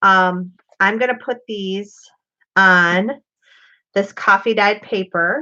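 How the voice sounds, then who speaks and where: A woman speaks loudly at medium pitch against a quiet background. Her pace is very slow, with long, frequent pauses and ordinary pitch variation. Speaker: crafter and video host. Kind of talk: casual live craft demonstration. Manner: chatty.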